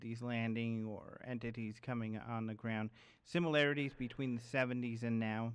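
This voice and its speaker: The man has an unremarkable speaking voice. He talks at medium pitch and a moderate pace. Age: 30s. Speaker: radio host. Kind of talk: interview.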